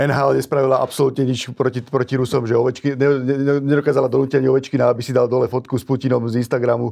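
Over a quiet background, a man speaks at a very fast pace in a dark, mellow tone. His loudness stays very even and his intonation is monotone and flat. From Slovakia. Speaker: sports podcast host. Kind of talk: interview. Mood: critical, emphatic. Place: studio.

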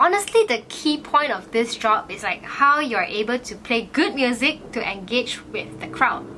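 With lively intonation and hardly any pauses, the speaker keeps a moderate pace over light background noise. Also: woman, high pitch for a woman, big swings in loudness. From Malaysia, Batu Pahat, Johor. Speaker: YouTuber, interview host. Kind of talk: casual interview chat. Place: home room.

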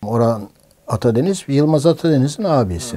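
Over a quiet background, a man with a fairly high pitch and a dark, mellow tone moves through very wide pitch swings. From Istanbul, Turkey. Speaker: film director and producer. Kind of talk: oral history interview answer. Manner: casual, anecdotal. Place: home room.

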